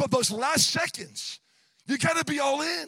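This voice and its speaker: A man's extremely high, raised, projected voice with a bright, sharp tone, lively intonation and a moderate pace, dry and close with no echo. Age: 60s. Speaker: guest preacher. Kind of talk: sermon. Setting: church.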